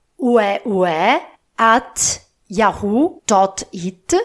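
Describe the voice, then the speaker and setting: A woman with an Italian accent and ordinary pitch variation, on a very clean recording with a silent background. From Italy (Po Valley, northern Italy). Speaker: podcast host, Italian language teacher. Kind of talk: casual monologue recap for learners. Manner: halting, frequent fillers.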